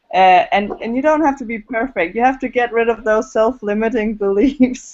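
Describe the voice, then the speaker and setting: With a Danish accent, a woman speaks at a moderate pace in a fairly high voice with ordinary pitch variation. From Denmark. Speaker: network marketer and video blogger. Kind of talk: group video call discussion. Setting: online video hangout. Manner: halting.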